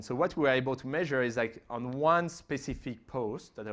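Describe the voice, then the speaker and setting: In a very clean recording with a silent background, a man with a French accent talks at a fairly quick pace with fairly even intonation. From France. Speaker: digital marketing expert. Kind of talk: conference Q&A. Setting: conference stage with audience. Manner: fast, with many fillers and restarts.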